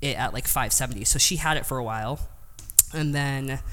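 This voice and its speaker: A woman with a very deep, low pitch talks at a moderate pace with ordinary pitch variation, and audible room echo surrounds her voice. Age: 20s. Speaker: powerlifter, world record holder. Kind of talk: interview.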